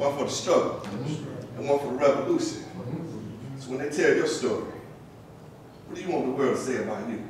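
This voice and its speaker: Noise is clearly audible in the background. Over it, words come fairly quickly. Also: man, fairly high pitch for a man, ordinary pitch variation. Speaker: spoken word poet. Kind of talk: spoken word poetry performance. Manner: rhythmic, preacher-like call and response.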